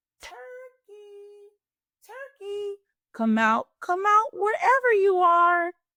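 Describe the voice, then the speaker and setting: A put-on character voice, squeaky and extremely high, at a very slow pace. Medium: read story. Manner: hesitant, hemming.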